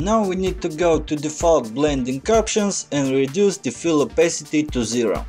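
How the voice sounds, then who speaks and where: A man's fairly high voice with a Russian accent, lively intonation, hardly any pauses, and music in the background. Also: moderate pace. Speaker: Photoshop tutorial maker. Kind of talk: software tutorial narration.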